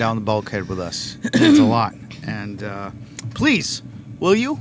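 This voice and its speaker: A man talks at a fairly slow pace, his loudness swinging widely. Background noise is noticeable. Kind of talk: casual podcast banter. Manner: upbeat, joking.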